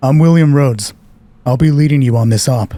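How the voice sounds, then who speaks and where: Using a put-on character voice, a man with a medium pitch speaks at a fairly quick pace with very even loudness. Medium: actual play.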